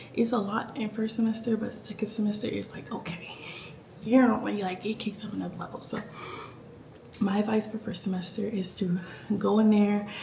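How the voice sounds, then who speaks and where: Speech comes at a fairly quick pace, broken by long, frequent pauses. Noticeable background noise is present. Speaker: nursing student vlogger. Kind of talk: casual vlog life update. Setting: at home late at night. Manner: animated.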